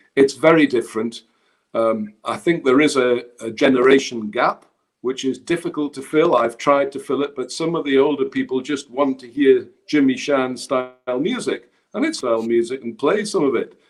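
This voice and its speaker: A fairly high-pitched man with an ordinary speaking voice, moderate in pace, his pitch varying in an ordinary way. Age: 50s. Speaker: traditional musician and music school backer. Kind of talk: casual chat.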